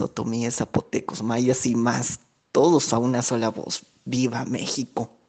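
This is a plain, everyday voice, a man speaking at medium pitch with fairly even intonation. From Peru. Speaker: former visitor to Mexico. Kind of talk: recorded testimonial.

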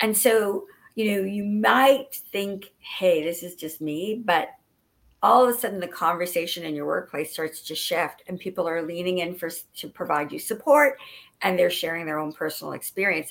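In a Canadian accent, a woman with an unremarkable speaking voice talks at a moderate pace and medium pitch, with lively intonation and big swings in loudness, on a very clean recording with a silent background. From Ottawa, Canada. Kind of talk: casual interview chat.

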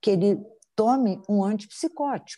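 A woman speaks at a fairly slow pace with a medium pitch and a dark, mellow, somewhat breathy tone. The sound is dry and close with no echo against a quiet background. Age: 50s. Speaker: psychologist and psychoanalyst. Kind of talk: interview.

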